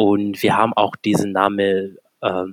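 Recorded dry and close with no echo, a man speaks very slowly at a fairly low pitch. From Kenya. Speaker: startup founder. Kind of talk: podcast interview.

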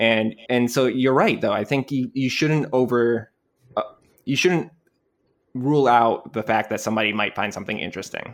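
A man with a plain, everyday voice holds a medium pitch, keeps ordinary pitch variation and talks at a moderate pace. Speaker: podcast co-host. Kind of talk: casual chat.

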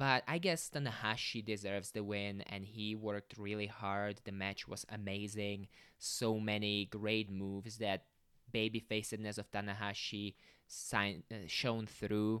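A man with a non-native accent speaks at a fairly slow pace and a fairly low pitch. His tone is bright and sharp, and the recording is very clean with a silent background. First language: not English (non-native speaker). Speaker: podcast host. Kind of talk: solo podcast monologue, casual. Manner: casual, upbeat, conversational.

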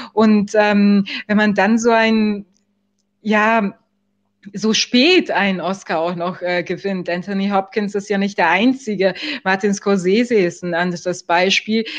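A woman's voice sits at a medium pitch, her intonation fairly even and her delivery very slow. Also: quiet background. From Germany. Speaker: film festival juror. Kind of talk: podcast interview. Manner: hesitant, many fillers.

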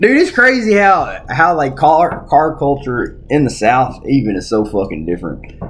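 Over noticeable background noise, a man speaks with hardly any pauses and very wide pitch swings. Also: fairly high pitch for a man, moderate pace. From Arkansas. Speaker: podcast co-host. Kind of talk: casual chat.

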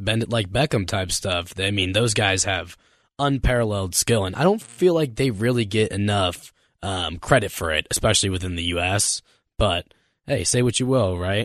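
An unremarkable speaking voice from a man with an American accent, fairly low in pitch, ordinary pitch variation, moderate pace. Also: quiet background. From Las Vegas, Nevada. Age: 20s. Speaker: radio intern. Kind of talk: casual chat.

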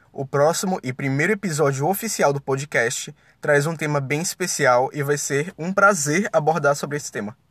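Fairly high pitch from a man at a moderate pace with ordinary pitch variation, on a very clean recording with a silent background and a dry, close sound with no echo. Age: 20s. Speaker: podcast host, law student. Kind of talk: solo podcast introduction. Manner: animated.

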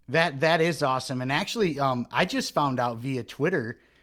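In a very clean recording with a silent background, a man has a normal speaking voice, a fairly high pitch, ordinary pitch variation and a moderate pace. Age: 40s. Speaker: podcast host. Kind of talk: casual interview.

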